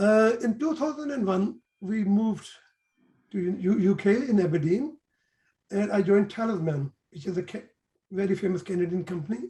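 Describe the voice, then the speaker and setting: Speaking with a Pakistani accent at a moderate pace, this voice has a dark, mellow tone and lively intonation, broken by long, frequent pauses. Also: man, high pitch for a man. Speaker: engineer and trader. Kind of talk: interview. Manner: halting.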